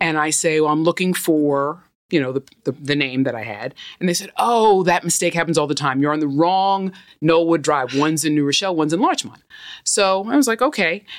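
Fairly quick, lively female voice with a fairly low pitch and a New York accent, on a very clean recording with a silent background. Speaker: entertainment lawyer. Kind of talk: casual interview chat. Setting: studio.

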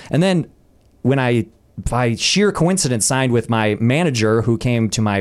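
A man with an American accent, medium-pitched, a plain, everyday voice, at a moderate pace with lively intonation. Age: 40s. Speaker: actor and comedian. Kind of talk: casual chat.

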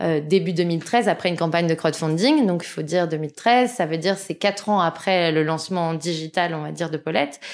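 Using a normal speaking voice, a woman talks at a fairly quick pace with hardly any pauses, a fairly low pitch and ordinary pitch variation. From Paris suburbs, France. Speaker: magazine founder and entrepreneur. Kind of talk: interview.

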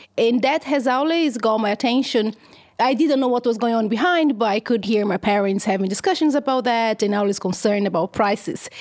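Fairly quick female speech in a Brazilian accent, fairly high in pitch, with ordinary pitch variation and very even loudness. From Brazil, countryside of São Paulo state. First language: Portuguese. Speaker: economist, university researcher. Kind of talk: interview. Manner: halting, frequent fillers and repetitions.

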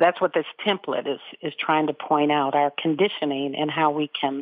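A woman with an American accent, very deep and low in pitch, with ordinary pitch variation. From US West Coast, South Central Los Angeles. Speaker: meditation teacher and author. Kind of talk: interview. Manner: halting.

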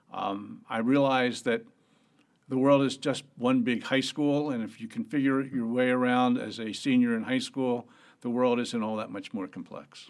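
An American accent marks this man's ordinary speaking voice, pitched medium with fairly even intonation. He keeps a moderate pace in a very clean recording with a silent background. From US Northeast, Atlantic City, New Jersey. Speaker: venture capitalist. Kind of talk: interview.

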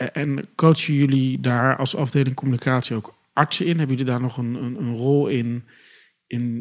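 A man speaks at a moderate pace in a plain, everyday voice, medium in pitch with ordinary variation. The recording is very clean, with a silent background. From Netherlands, Rotterdam. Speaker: podcast co-host, PR agency. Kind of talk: interview. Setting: studio.

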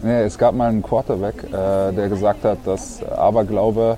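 A man's voice over noticeable background noise. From Germany, Berlin. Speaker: professional handball player. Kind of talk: casual interview.

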